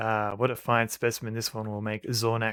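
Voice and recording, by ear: A man puts on a raspy character voice at a medium pitch. He speaks at a moderate pace in a monotone, flat intonation.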